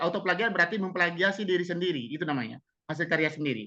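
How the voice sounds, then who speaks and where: A man's raised, projected voice, bright and sharp in tone, at a fairly quick pace. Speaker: webinar speaker on textbook writing. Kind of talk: webinar Q&A answer. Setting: online webinar. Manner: fast.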